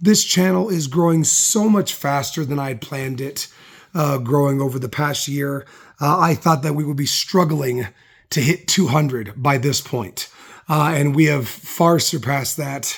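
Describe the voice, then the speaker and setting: A somewhat breathy man's voice, fairly high in pitch, with ordinary pitch variation and a moderate pace. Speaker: YouTuber reading comics. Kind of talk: casual talk to camera. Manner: halting, many fillers.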